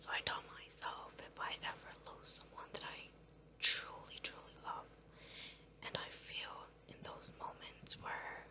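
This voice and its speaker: With noticeable noise in the background, a whisper proceeds at a fairly slow pace. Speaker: ASMR creator. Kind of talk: casual talk to camera. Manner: whispered.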